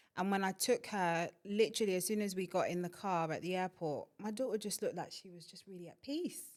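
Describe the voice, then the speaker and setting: A woman speaks with a Yoruba accent. She barely pauses at all. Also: medium pitch for a woman, ordinary pitch variation, fairly quick pace, big swings in loudness. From Nigeria, moved to London (Clapham) as a child. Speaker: inclusion consultant. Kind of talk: podcast interview. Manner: casual, conversational.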